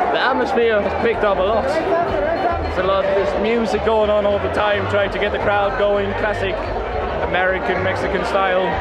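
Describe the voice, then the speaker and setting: A man at a moderate pace with ordinary pitch variation, music in the background. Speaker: travel vlogger. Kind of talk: casual vlog chat. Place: stadium. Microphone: phone near.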